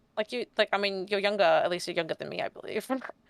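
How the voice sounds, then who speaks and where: Speaking at a very fast pace, a woman holds a medium pitch with ordinary variation. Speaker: VTuber streamer. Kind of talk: casual chat.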